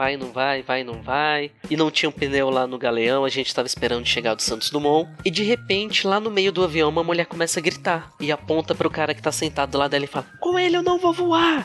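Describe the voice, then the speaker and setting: Over music in the background, a man talks at a fairly quick pace with hardly any pauses. His fairly high pitch shows ordinary variation. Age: 20s. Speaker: flight attendant. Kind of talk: casual chat.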